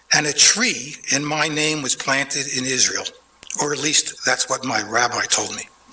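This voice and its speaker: A fairly high-pitched man with an American accent at a moderate pace, amid noticeable background noise. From Philadelphia, US. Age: 70s. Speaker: public commenter at council meeting. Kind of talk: prepared public comment. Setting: city council chamber. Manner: formal.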